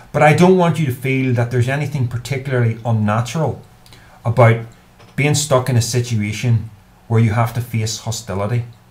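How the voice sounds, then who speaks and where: Speaking at a fairly quick pace, a man with a Northern Irish accent sounds somewhat breathy and keeps his intonation fairly even. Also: medium pitch for a man. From Northern Ireland. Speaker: YouTuber. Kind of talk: advice monologue to camera. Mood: earnest, thoughtful. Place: home room. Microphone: webcam.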